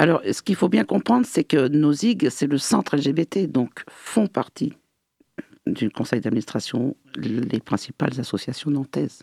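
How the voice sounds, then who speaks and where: This man has a dark, mellow tone at a fairly high pitch, with very wide pitch swings. He talks at a fairly slow pace, and the sound is dry and close with no echo. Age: 60s. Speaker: LGBT association president. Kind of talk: radio interview.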